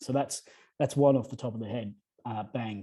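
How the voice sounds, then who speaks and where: An Australian accent colors this man's dark, mellow tone. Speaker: energy efficiency advisor. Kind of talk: panel discussion. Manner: fast.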